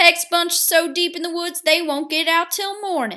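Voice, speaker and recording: A woman's put-on character voice, gruff yet extremely high in pitch, with fairly even intonation at a moderate pace. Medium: read story. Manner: gruff, menacing.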